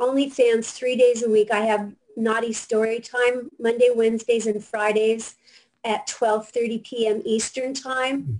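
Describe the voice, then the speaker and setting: A woman with an American accent speaks in a fairly high pitch. Her intonation stays fairly even. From US Pacific Northwest, Seattle. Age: 70s. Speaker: adult film performer. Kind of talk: casual chat. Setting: video call.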